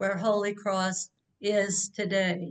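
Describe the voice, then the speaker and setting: Very slow speech from a woman. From South Louisiana. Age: old. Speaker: religious sister. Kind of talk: talk.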